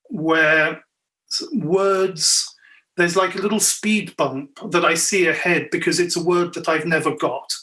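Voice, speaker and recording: Bright and sharp in tone, a man talks at a high pitch with ordinary pitch variation. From Belgium, Ardennes. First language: French. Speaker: novelist and poet. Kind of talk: panel discussion. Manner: slows down on difficult words.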